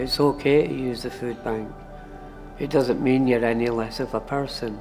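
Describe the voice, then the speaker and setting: Over music in the background, a man with an Edinburgh accent talks at a fairly slow pace in a monotone, flat intonation. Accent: Scottish (Edinburgh). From Edinburgh, Scotland. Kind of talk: documentary interview answer.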